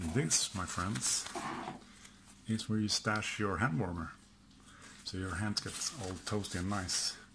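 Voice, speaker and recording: Speaking with a Swedish accent, a man talks at a fairly slow pace in a fairly low pitch, with ordinary pitch variation and long, frequent pauses. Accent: Swedish accent, mispronounces some words. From Sweden. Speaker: outdoor gear and prepping youtuber. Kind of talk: product test video. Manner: casual, hesitant with fillers.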